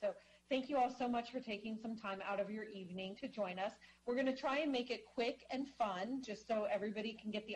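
A woman talks at a very fast pace with fairly even intonation and a somewhat breathy voice. Light background noise can be heard. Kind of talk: meeting presentation. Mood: friendly, welcoming. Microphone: video call.

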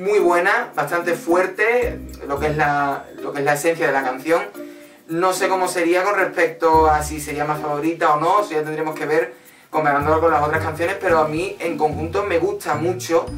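Clear music plays behind a voice that moves at a moderate pace with ordinary pitch variation. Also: man. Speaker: music reaction vlogger. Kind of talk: casual vlog commentary. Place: home room.

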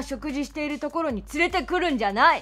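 A woman's voice with faint music in the background. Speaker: narrator voicing all characters. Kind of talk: story narration with acted dialogue.

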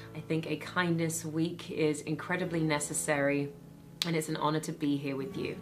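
Faint music plays behind a woman with a British accent speaking at a moderate pace and fairly low pitch. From Britain. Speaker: actress, host, voice over artist, speaker. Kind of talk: inspirational talk. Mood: warm, calm, uplifting. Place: studio.

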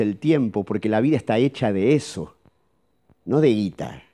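A man with a Rioplatense accent speaks in a dark, mellow tone with ordinary pitch variation. The background is quiet. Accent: Argentine Rioplatense Spanish. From Argentina. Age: middle-aged. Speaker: psychologist; speaker. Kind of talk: seminar talk. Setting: auditorium with live audience. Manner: animated. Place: hall. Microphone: handheld.

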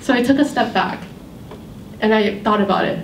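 With an American accent, a woman talks at a fairly quick pace with ordinary pitch variation, with audible room echo and light background noise. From Worcester, Massachusetts. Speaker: college student. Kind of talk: prepared speech. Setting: stage with audience. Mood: warm, smiling, reflective. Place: hall.

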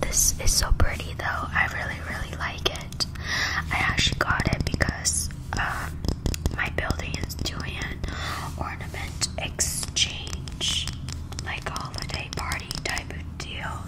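Whispering and soft-spoken, a woman speaks at a very slow pace over loud background noise. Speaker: ASMR creator. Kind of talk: soft casual ASMR chat. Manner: soft close-mic ASMR whisper. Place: home room. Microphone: studio mic.

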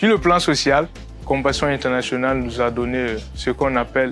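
The speech moves at a fairly slow pace with a dry sound and no echo, while faint music plays in the background. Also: man. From Burkina Faso. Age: young. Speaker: sponsored youth. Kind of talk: testimonial interview answer. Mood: warm, grateful, smiling. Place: street. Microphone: lapel.

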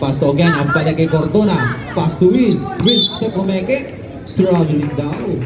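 Noticeable background noise sits behind this man. He speaks fairly slowly in a playful tone. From Philippines. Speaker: basketball game commentator. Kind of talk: live sports commentary. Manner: playful, joking, with shout-outs and laughter. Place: street. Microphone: phone near.

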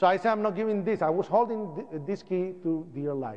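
A man with a Spanish accent speaks at a moderate pace in an animated tone, with lively intonation and a high pitch. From Puerto Rico. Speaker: 9/11 survivor and activist. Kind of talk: public talk.

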